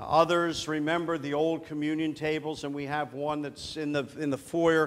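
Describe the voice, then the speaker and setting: Monotone, flat intonation marks this man's fairly slow delivery. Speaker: preacher. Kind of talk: sermon. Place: church.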